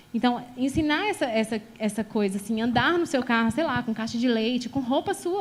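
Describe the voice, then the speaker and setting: A woman talks with hardly any pauses in an animated tone. Her pitch is high and her intonation lively. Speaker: pastor. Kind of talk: sermon. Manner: fast.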